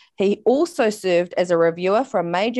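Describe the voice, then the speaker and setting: In a New Zealand accent, a woman speaks at a fairly quick pace with medium pitch and ordinary pitch variation. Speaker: podcast co-host. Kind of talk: interview.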